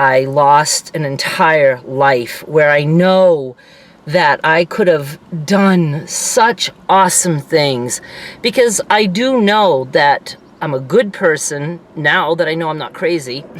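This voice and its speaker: A woman's very deep, low voice at a very slow pace with lively intonation, against noticeable background noise. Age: 60s. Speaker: vlogger. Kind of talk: personal vlog monologue. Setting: in a parked car. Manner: casual, halting.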